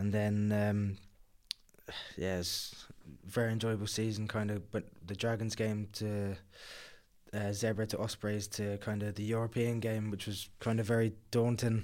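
A man speaks slowly in a fairly low, monotone, flat voice, recorded very cleanly against a silent background. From southern England, Kent. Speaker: professional rugby player. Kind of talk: interview.

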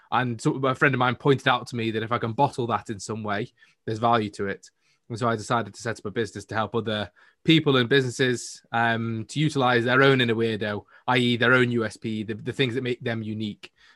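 Over a silent background on a very clean recording, a man talks very fast at a medium pitch with a bright, sharp tone and fairly even intonation, the sound dry and close with no echo. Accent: Manchester. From Manchester, northern England. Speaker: entrepreneur guest. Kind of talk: casual interview.

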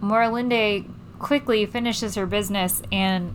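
A woman talks in an ordinary speaking voice. Her pitch variation is ordinary. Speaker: tabletop game player. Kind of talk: casual game banter.

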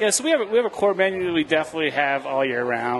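Very fast man's speech in an American accent, over noticeable background noise. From Philadelphia, US. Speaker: grocery market owner. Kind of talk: casual chat. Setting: studio kitchen.

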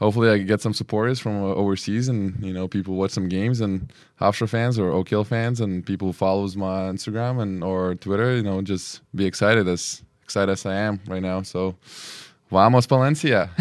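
Speaking fairly quickly with a Lithuanian accent, a man keeps a fairly low pitch and fairly even intonation on a very clean recording with a silent background. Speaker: basketball player. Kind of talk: interview.

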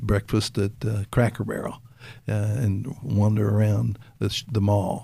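A man speaks at a fairly slow pace with a fairly low pitch. His tone is dark and mellow, and somewhat breathy. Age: 70s. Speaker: retired preacher and mentor. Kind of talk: casual interview chat. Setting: live-streamed video recording.

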